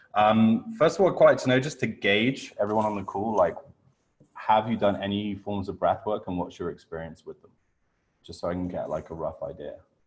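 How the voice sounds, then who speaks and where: A man with a British accent at a fairly quick pace, with big swings in loudness. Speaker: breathwork coach. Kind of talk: online workshop.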